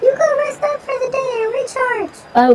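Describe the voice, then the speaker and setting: A squeaky, put-on character voice at an extremely high pitch moves at a moderate pace over light background noise. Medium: machinima. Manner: casual, unbothered.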